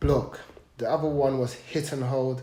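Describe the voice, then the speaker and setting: Noticeable background noise and audible room echo surround a man's medium-pitched voice. He talks at a fairly slow pace with fairly even intonation. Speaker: podcast guest. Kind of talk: personal testimony. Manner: halting, with repeated sounds.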